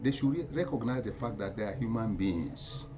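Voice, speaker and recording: At a moderate pace, a man speaks at a medium pitch with ordinary pitch variation, with audible room echo and noticeable background noise. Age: 80s+. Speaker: community elder and activist. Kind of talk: public appeal. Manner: halting.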